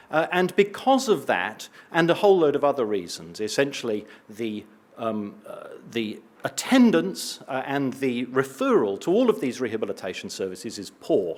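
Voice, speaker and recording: In an English accent, a man speaks at a moderate pace with a medium pitch, very wide pitch swings, and vocal fry. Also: big swings in loudness. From eastern England. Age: old. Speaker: respiratory physician and researcher. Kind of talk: conference talk.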